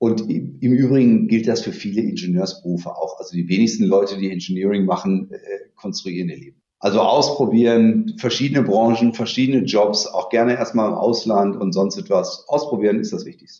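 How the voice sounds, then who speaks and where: Using an ordinary speaking voice, a man talks at a fairly quick pace with hardly any pauses. His loudness swings widely. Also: medium pitch for a man, lively intonation. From Dortmund, Germany. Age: 50s. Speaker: company CEO. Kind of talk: interview.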